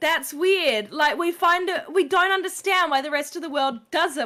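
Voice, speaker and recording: In an Australian accent, a woman speaks with an animated tone in a raised, projected voice. Her pitch is extremely high, with ordinary variation, and her tone is bright and sharp. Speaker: gaming streamer. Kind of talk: casual chat.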